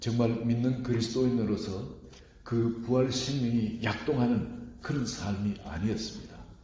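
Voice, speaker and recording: At a fairly slow pace, a man speaks in a medium pitch with very even loudness and audible room echo. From rural South Korea. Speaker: pastor. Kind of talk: sermon.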